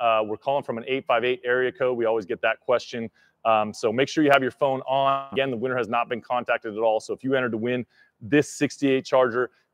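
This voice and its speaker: Over a quiet background, a man speaks at a fairly quick pace in a monotone, flat intonation, the sound dry with no echo. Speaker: livestream host. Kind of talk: live stream announcement. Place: garage. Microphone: studio mic.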